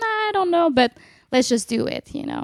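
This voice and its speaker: With a Quebec accent, a woman speaks at a high pitch in a dry, close sound with no echo. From Quebec City, Canada. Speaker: jazz vocalist and bandleader. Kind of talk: casual interview conversation. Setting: in person, a home in Nanaimo. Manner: casual, hesitant, many fillers.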